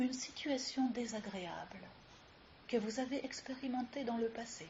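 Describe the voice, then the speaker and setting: A woman speaks in a calm, soothing tone at a high pitch. Her pace is fairly slow and her intonation fairly even. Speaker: yoga teacher. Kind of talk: guided yoga nidra relaxation session. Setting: live recording with ambient sounds. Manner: slow, calm, soothing.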